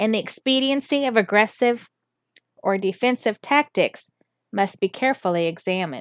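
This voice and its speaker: Recorded very cleanly against a silent background, the sound is dry and close with no echo. A woman with an unremarkable speaking voice talks at a moderate pace with ordinary pitch variation. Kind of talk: reading aloud.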